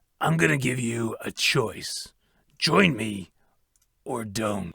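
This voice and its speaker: A raspy, put-on character voice speaks at a very slow pace with lively intonation. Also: man, medium pitch for a man. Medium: machinima. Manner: smug, mocking.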